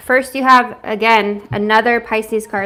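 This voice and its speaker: A woman talks with a fairly high pitch and fairly even intonation. Background noise is noticeable. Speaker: tarot reader. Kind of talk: live tarot reading. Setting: home livestream. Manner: fast.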